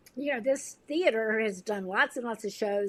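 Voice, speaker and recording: An unremarkable speaking voice from a woman, fairly high in pitch with ordinary pitch variation and an American accent, in a very clean recording with a silent background. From US South. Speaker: nonprofit administrator and amateur actor. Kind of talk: podcast interview. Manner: casual, with many fillers.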